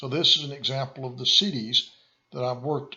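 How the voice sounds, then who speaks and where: A man with a Southern US accent, a bright, sharp tone, a medium pitch and ordinary pitch variation. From US South, rural small town. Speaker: consultant and course presenter. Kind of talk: lecture. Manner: halting, frequent fillers and repeats.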